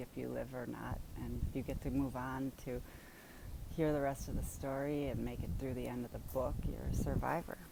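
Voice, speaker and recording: With a Wisconsin accent, a woman speaks at a moderate pace amid audible room echo. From US Midwest, southeastern Wisconsin. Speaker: vlogger sharing Parkinson's experience. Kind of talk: personal storytelling monologue.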